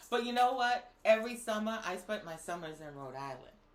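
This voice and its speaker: Audible room echo surrounds a woman whose fairly high voice is animated, with very wide pitch swings. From Boston. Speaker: co-host. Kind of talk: casual chat.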